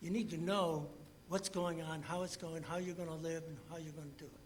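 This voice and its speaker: A man's high-pitched voice with audible room echo. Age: 80s+. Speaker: resident speaking at public hearing. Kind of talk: public comment. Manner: halting.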